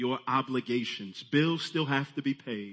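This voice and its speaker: The delivery is fairly slow. It is an ordinary speaking voice, and the pitch moves in an ordinary way. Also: man. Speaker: pastor. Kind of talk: sermon.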